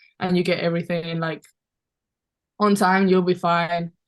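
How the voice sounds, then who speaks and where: A woman with a Spanish accent speaks in a fairly low pitch with monotone, flat intonation. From Spain, Valencia. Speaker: basketball player. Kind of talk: podcast interview.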